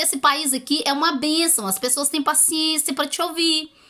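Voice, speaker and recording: A woman's raised, projected voice at a moderate pace. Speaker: YouTuber giving language-learning tips. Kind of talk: casual advice video.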